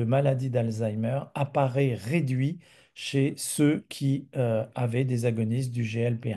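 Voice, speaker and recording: A man with a dark, mellow tone speaks at a very slow pace and medium pitch, with ordinary pitch variation and a quiet background. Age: 60s. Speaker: physician presenter. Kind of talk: webinar presentation.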